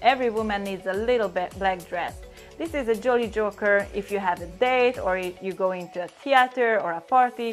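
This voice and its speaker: Music plays in the background as a woman speaks in a strong Hungarian accent. Her pitch is fairly high, with ordinary variation, at a moderate pace. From Hungary. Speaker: makeup artist and stylist. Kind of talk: style tips talk to camera.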